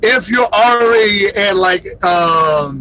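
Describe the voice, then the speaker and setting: Over noticeable background noise, a man speaks very slowly in a raised, projected voice with very wide pitch swings. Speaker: truck driver trainer vlogger. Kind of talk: casual storytelling livestream. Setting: in a truck. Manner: loud; animated.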